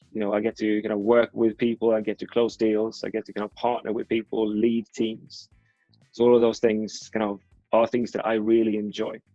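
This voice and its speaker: A man with a Swedish accent, medium in pitch, monotone and flat, at a moderate pace. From Sweden. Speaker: advertising executive. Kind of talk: interview. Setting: video call.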